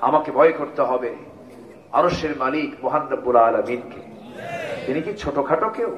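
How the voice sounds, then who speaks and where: Noticeable background noise accompanies a man with an animated tone, a fairly high pitch and ordinary pitch variation. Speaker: Islamic preacher giving a waz sermon. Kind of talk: Islamic sermon (waz) delivered to a live audience. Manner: animated, call-and-response with the audience.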